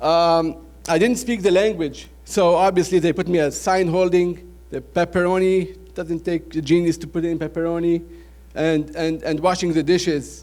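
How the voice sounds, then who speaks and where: High pitch from a man, with fairly even intonation. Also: moderate pace. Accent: Lebanese. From Lebanon, Beirut. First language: Arabic. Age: 30s. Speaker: restaurant franchise owner. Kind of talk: business presentation. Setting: trade show audience.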